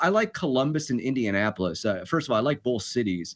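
Fairly quick male speech with an American accent, dry and close with no echo, on a very clean recording with a silent background. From Los Angeles, US. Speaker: baseball play-by-play announcer. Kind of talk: casual chat. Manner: halting, many repetitions and fillers.

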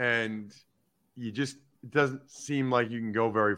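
Over a quiet background comes a man with an unremarkable speaking voice, medium in pitch and with ordinary pitch variation. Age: 40s. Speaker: football analyst and former NFL lineman. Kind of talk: interview.

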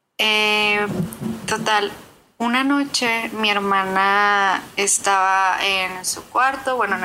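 With a bright, sharp tone, a woman speaks at a fairly high pitch with ordinary pitch variation. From Nuevo León, Mexico. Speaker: listener. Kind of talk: voice message.

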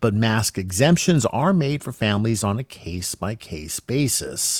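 A man with a plain, everyday voice speaks at a fairly low pitch with lively intonation, recorded very cleanly against a silent background with a dry, close sound and no echo. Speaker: radio news host. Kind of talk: news reading. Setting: studio.

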